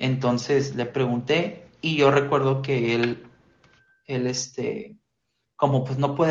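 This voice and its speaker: A man talks in a Mexican accent at a fairly high pitch. His voice is somewhat breathy, with audible room echo. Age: 20s. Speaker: church lay preacher. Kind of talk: casual chat.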